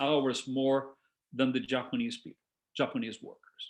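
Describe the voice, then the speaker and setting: Lively intonation at a moderate pace, with a Brazilian Portuguese accent. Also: man. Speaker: discussion leader. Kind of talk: talk to a discussion group. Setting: video call. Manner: halting.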